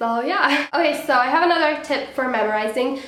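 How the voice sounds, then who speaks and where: A woman's high-pitched voice at a moderate pace, lively intonation, audible room echo and noticeable background noise. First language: not English. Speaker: student vlogger. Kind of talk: casual tutorial vlog.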